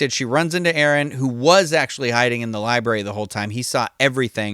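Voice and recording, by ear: A natural voice reading aloud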